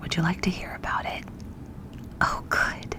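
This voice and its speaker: A voice whispers. Noticeable noise sits behind it. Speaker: ASMR storyteller. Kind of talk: read story. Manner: whispered.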